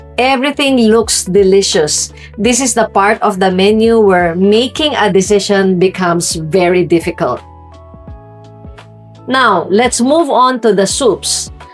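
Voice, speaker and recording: Music plays in the background. A woman talks at a fairly slow pace with a medium pitch and ordinary pitch variation. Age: 50s. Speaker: food and lifestyle vlogger living in the Philippines. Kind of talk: casual talk to camera, restaurant review. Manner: conversational, friendly, lightly humorous.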